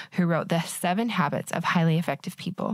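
A woman with a Western US accent speaks at a moderate pace. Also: dry, close sound with no echo. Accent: American (Western US). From Utah. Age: 30s. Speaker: podcast host. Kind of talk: casual interview; scripted intro narration.

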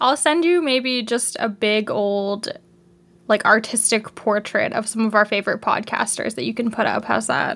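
A woman's plain, everyday voice, fairly high, with a Canadian accent, ordinary pitch variation and a moderate pace. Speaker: podcast co-host. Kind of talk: casual chat.

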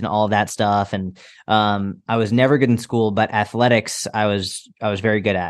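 An ordinary speaking voice, with fairly even intonation, comes through over a quiet background. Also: man. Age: 30s. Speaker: fitness coach. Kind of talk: interview conversation.

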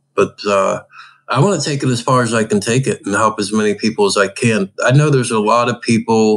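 In a plain, everyday voice with an American accent, a man at medium pitch speaks fairly quickly with ordinary pitch variation. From Pittsburgh, Pennsylvania. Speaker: adaptive hunter and angler. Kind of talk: casual interview.

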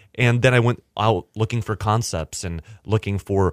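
With fairly even intonation and a moderate pace, a man speaks in a normal speaking voice, captured in a very clean, dry, close recording with no echo and a silent background. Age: 20s. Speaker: restaurateur. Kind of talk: interview.

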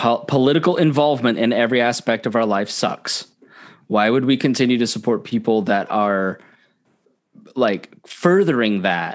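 Speaking with an American accent, a man has an unremarkable speaking voice at a medium pitch, with lively intonation, a moderate pace and very even loudness, in a very clean recording with a silent background. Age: 30s. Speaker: libertarian podcaster and political activist. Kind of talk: casual chat.

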